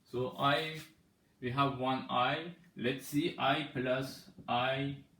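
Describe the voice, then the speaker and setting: Very slow and bright, sharp in tone, the voice holds a monotone, flat intonation against audible room echo. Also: man, medium pitch for a man. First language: Persian. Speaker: mathematics teacher. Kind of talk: tutorial. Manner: halting.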